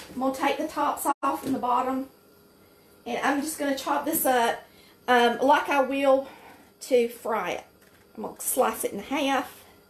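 With a Southern US accent, a woman talks at a moderate pace in a high pitch, using fairly even intonation and long, frequent pauses, with audible room echo. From Polk County, Georgia. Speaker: home cook. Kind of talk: cooking tutorial talk to camera. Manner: folksy, chatty. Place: kitchen.

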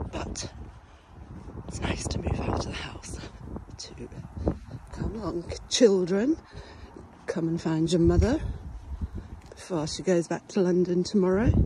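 The speech comes at a fairly slow pace with long, frequent pauses, the sound dry with no echo and noticeable background noise behind it. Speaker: travel vlogger. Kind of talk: casual vlog chat. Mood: relaxed, chatty. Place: waterside. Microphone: phone near.

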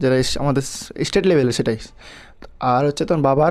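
A man's ordinary speaking voice at medium pitch. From West Bengal, Malda. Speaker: YouTuber giving exam advice. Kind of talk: tutorial. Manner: informal, addresses viewers directly.

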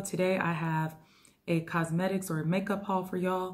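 A woman's somewhat breathy, medium-pitched voice comes through on a very clean recording with a silent background. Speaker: beauty YouTuber. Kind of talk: casual haul video. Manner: animated.

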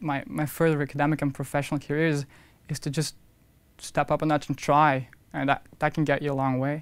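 The voice carries a Flemish accent. The pace is fairly quick. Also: man. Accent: Flemish Dutch accent in English. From Belgium, Hasselt (Flanders); Flanders, Belgium. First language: Dutch. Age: 20s. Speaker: university student and intern. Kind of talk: interview testimonial. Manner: halting, with repetitions. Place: studio.

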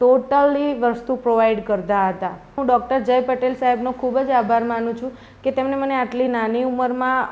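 Her high voice keeps a fairly even intonation. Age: 20s. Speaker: patient. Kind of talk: testimonial. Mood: grateful, calm. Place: home room. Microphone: lapel.

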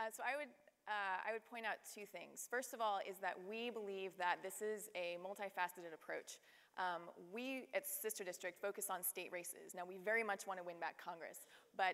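Her pace is moderate. The woman's pitch varies in an ordinary way. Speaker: panelist. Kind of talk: panel discussion answer. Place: stage. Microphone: lapel.

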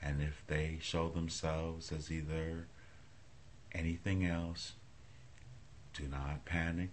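A soft-spoken man with a very deep, low pitch talks over light background noise. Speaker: hypnotist. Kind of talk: hypnosis induction. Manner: slow, soft-spoken. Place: home room. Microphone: phone near.

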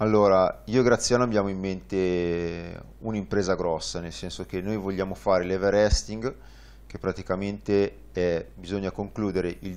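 Using a normal speaking voice, a man speaks at a fairly low pitch with fairly even intonation. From northern Italy, Varese; northern Italy. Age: 30s. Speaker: tandem cycling pilot; guest. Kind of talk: interview. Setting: studio. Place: studio. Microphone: lapel.

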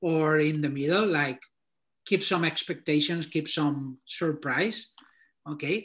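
The voice is monotone, with flat intonation, over a quiet background. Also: man. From Spain. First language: Spanish. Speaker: designer reviewing portfolios. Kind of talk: portfolio critique and career advice. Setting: video call. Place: home room. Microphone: video call.

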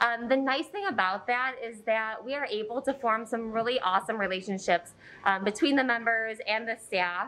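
A woman talks in a bright, sharp tone with ordinary pitch variation. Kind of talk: interview answer. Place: gym.

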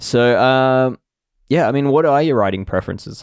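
Man with an Australian accent, dry, close sound with no echo, quiet background. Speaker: podcast host, cycling tech journalist. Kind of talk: casual chat.

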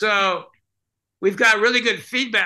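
A man is speaking. His tone is bright and sharp. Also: quiet background. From California, US West. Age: 70s. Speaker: mime performer and teacher; teacher. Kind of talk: casual interview. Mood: relaxed, reflective. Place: home room. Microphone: video call.

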